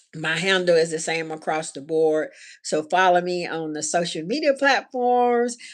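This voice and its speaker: A woman with a Southern US accent speaks at a moderate pace in a fairly low voice, her intonation lively and her loudness swinging widely, on a very clean recording with a silent background. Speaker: handcrafted accessories designer and small business owner. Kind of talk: live stream vlog talk to viewers. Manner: casual, hesitant with fillers; Southern slur per husband.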